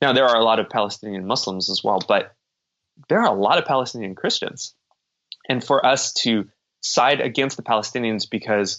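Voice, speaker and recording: In a normal speaking voice, a man with an American accent talks at a fairly quick pace, his medium pitch showing ordinary variation and his loudness very even. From United States. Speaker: professor. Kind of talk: interview.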